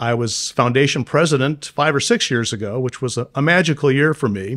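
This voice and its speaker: On a very clean recording with a silent background, a normal speaking voice moves at a fairly quick pace with ordinary pitch variation. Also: man, medium pitch for a man. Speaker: bankruptcy attorney. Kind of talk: interviewer conversation.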